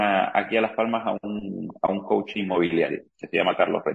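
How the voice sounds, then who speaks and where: At a moderate pace, a man speaks with a slight Argentine accent and fairly even intonation. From Argentina. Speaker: real estate agent. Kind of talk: interview.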